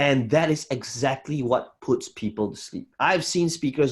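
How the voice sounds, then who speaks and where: A man speaks at a fairly high pitch with ordinary pitch variation. His voice is somewhat breathy, and the background is quiet. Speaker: business coach. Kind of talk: online workshop lecture. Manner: slow.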